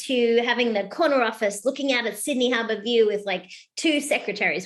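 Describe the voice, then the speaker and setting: Against a quiet background, a woman with an Australian accent speaks at a very fast pace in a high pitch with lively intonation. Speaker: keynote speaker and author. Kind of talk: podcast interview. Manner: animated.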